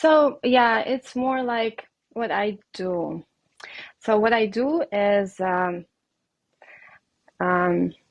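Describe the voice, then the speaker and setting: A woman with a Russian accent speaks very slowly in a fairly high voice, with lively intonation and long, frequent pauses. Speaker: reiki healer and life coach. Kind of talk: podcast interview. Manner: hesitant, many fillers.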